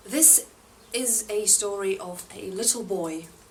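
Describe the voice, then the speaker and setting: Lively intonation marks a woman's medium-pitched speech over noticeable background noise. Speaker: book reviewer. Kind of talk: casual talk to camera. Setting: outdoors.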